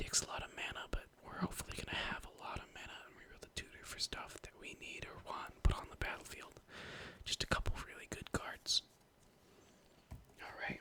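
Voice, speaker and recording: A man whispers at a fairly quick pace. There is noticeable background noise. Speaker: ASMR channel host and card game deck tech creator. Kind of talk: casual deck tech talk to camera. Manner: whispered, soft-spoken, ASMR style.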